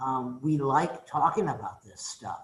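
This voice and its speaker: Here a man speaks with a somewhat breathy voice. His intonation stays fairly even. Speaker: economics professor. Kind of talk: welcome talk to new students. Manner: casual, conversational.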